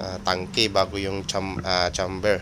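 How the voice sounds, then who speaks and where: Fairly low-pitched male speech at a fairly slow pace, with noticeable background noise. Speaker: DIY stove maker. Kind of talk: product demonstration tutorial. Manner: halting with many fillers; casual, friendly.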